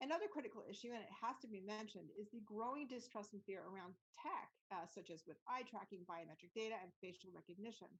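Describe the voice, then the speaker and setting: Speech races at a very fast pace with lively intonation. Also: woman. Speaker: immersive tech consultant and podcaster. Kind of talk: presentation.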